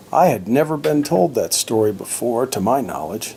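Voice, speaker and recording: Moderate pace over noticeable background noise. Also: man. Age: old. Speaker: grandfather vlogger. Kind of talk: reading aloud.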